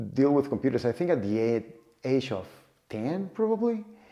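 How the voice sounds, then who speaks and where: With a Cuban accent, a man speaks in a dark, mellow tone and lively intonation. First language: Spanish. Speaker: data professional and vlogger. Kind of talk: personal story vlog. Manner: halting, frequent repetitions and fillers.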